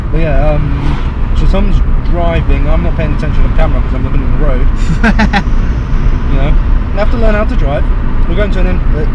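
A man talks at a very fast pace in a dry sound with no echo, over loud background noise. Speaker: passenger vlogger. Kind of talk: casual vlog chat. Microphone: phone near.

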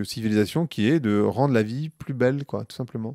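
In a dry recording with no echo and a quiet background, a man talks with ordinary pitch variation. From Paris suburbs, France; France. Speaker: marketing professional and podcaster; podcast guest. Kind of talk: casual interview. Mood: relaxed, engaged. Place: home room. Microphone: handheld.

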